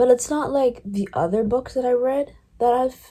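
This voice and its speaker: This woman has a dark, mellow tone and a high pitch. She talks at a moderate pace. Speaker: book vlogger. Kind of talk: casual vlog chat. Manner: rambling, filler-heavy; loud.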